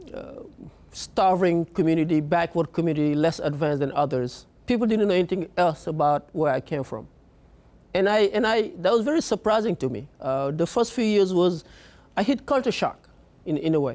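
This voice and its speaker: Speaking at a moderate pace, a man with a high pitch uses lively intonation. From Senegal. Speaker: immigrant guest sharing life story. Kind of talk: personal testimony. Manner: hesitant, many fillers.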